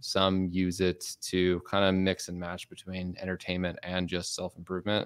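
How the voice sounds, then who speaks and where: Very clean recording with a silent background: a man with a fairly low pitch, an ordinary speaking voice, at a moderate pace. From US Midwest, Chicago. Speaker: productivity content creator. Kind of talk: podcast interview. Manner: casual, filler-heavy.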